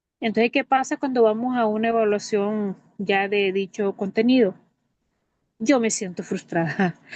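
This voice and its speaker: A woman with a fairly high pitch speaks at a fairly slow pace, with ordinary pitch variation. The sound is dry and close with no echo, over a quiet background. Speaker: teacher. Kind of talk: testimony.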